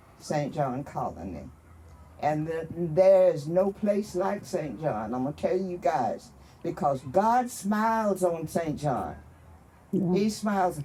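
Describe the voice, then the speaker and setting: The speaker has a Texas accent. The pace is very slow. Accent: Southern US, Texas. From Austin, Texas area. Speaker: community elder, oral history storyteller. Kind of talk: oral history conversation on stage.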